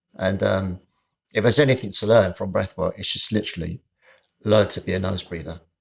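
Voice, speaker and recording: This man speaks in a British accent with a fairly low pitch and fairly even intonation. He moves at a fairly quick pace, and the recording is very clean with a silent background. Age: 60s. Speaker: personal trainer. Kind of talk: casual chat.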